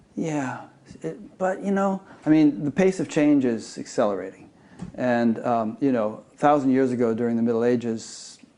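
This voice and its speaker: A man's medium-pitched, dark, mellow tone with lively intonation at a moderate pace. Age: 60s. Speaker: interview host. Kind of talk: interview conversation.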